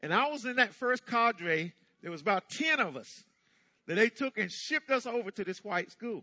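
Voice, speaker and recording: With an American accent, a man talks in a raised, projected voice at a moderate pace, his tone bright and sharp, his pitch high, and his intonation lively, recorded with a dry, close sound and no echo. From US South, eastern North Carolina. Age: 60s. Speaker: pastor. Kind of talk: sermon. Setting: church.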